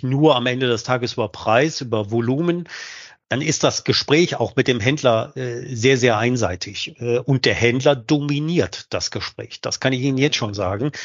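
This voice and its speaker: His pitch is medium. The man talks at a fairly slow pace. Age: 50s. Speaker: sales director. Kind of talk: interview. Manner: halting.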